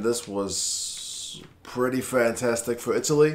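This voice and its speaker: A man puts on a quiet, raspy character voice at a medium pitch. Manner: keeping voice down, hushed.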